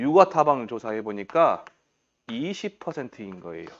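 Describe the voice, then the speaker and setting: With vocal fry and very wide pitch swings, a man speaks in an animated tone, the sound dry and close with no echo. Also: quiet background. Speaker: exam prep lecturer. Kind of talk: lecture. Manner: fast; animated, questioning.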